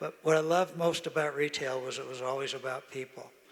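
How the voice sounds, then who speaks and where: Noticeable background noise behind a man with an American accent, medium pitch, fairly quick pace and fairly even intonation. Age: 80s+. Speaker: retired business executive. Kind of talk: interview on stage. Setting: stage with audience.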